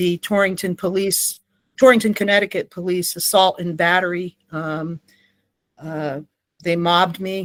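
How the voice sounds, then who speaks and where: Her American accent comes through at a fairly slow pace and fairly low pitch. The woman's intonation stays fairly even, with a dry, close sound and no echo. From Texas, El Paso. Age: 60s. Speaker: whistleblower and litigant. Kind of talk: interview testimony. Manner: hesitant, many fillers.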